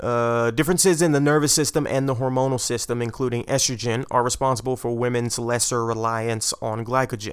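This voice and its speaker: Over a silent background in a very clean recording, an unremarkable speaking voice talks at a moderate pace with fairly even intonation. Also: man. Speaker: podcast host. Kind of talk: casual banter then research explainer.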